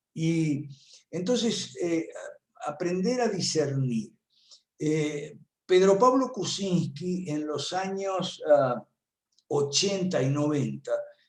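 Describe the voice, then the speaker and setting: Speaking very slowly with long, frequent pauses, a man uses a high pitch and lively intonation, and the room echo is audible. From Argentina. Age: 70s. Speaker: political analyst and professor. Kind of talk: talk at an online conference. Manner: conversational with many fillers.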